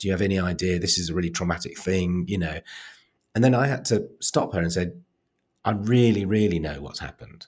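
A man speaks in a very deep, low pitch at a fairly quick pace, with ordinary pitch variation. The recording is very clean, with a silent background. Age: 50s. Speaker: author, playwright and comedian. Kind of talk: casual chat.

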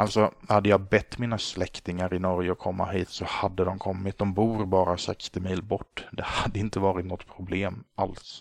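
A man speaks in a very deep, low pitch with monotone, flat intonation and hardly any pauses. The background is quiet. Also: moderate pace. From Sweden, Småland (Gnosjö). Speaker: podcast host. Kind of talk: solo podcast monologue.

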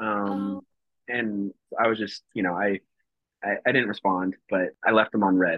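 This is a man speaking. His pace is fairly slow. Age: 20s. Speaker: reality TV contestant, travel nurse. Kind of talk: casual chat. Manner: halting, many fillers.

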